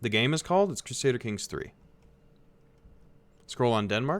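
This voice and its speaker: With an American accent, a man speaks at a moderate pace and medium pitch, showing vocal fry. His pitch swings very widely, and the recording is very clean with a silent background. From United States. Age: 20s. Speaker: video game streamer. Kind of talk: live gameplay commentary. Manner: casual, conversational.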